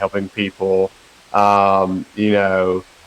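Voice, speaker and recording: A man's fairly low voice with a Carolina accent. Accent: slow Carolina drawl. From western North Carolina. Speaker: personal trainer and nutrition coach. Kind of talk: podcast interview.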